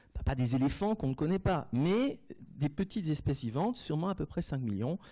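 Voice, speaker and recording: Over a silent background on a very clean recording, a man with a dark, mellow tone talks at a moderate pace, his pitch swinging very widely. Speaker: anatomy professor. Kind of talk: lecture. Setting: lecture hall. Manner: hesitant, many fillers.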